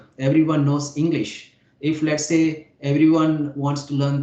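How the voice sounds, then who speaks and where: A man's fairly high voice with a dark, mellow tone and audible room echo. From India (Hyderabad). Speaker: YouTuber, English conversation partner. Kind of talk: casual conversation practice.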